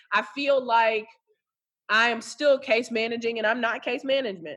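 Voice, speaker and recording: A woman's animated voice, fairly high in pitch, at a moderate pace. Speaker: social worker. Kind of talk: casual interview. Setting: phone call. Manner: loud.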